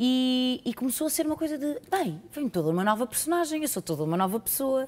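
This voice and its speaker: Speaking in a Lisbon accent, a woman with a high pitch moves at a fairly quick pace, her voice swinging very widely in pitch while the loudness stays very even. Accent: former Porto accent, now Lisbon-style. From Portugal, Porto. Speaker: actress. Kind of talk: casual interview. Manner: halting.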